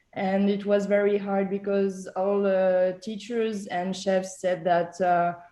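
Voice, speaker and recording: A woman's dark, mellow voice at a very slow pace, monotone and flat in intonation, with hardly any pauses. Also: medium pitch for a woman. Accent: French. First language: French. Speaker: chef. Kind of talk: panel discussion. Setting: video call. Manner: halting.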